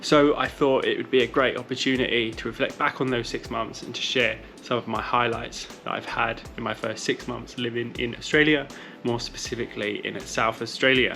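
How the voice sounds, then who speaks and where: Medium-pitched male voice in a British accent, monotone and flat at a fairly quick pace, with music in the background. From UK. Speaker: running vlogger. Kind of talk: vlog monologue. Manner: casual, chatty.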